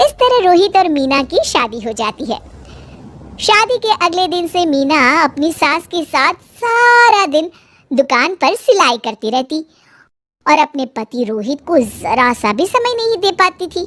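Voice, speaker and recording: Using a cartoonish character voice, a woman hits an extremely high pitch with very wide pitch swings. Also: moderate pace. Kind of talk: moral storytelling. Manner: even, plain.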